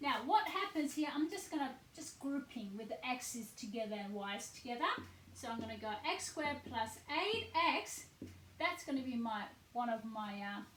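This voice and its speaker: Through audible room echo, a woman speaks in a high voice at a moderate pace with very wide pitch swings. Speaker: maths teacher. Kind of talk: tutorial.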